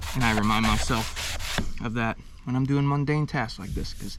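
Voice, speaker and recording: A man at a medium pitch talks in a space with audible room echo and noticeable background noise. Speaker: DIY homeowner vlogger. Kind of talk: tutorial. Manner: casual.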